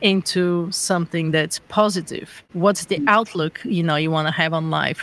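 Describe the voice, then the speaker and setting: Speaking with a Bulgarian accent, this voice runs on with hardly any pauses. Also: moderate pace. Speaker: founder of a well-being organization, former marketer. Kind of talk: interview.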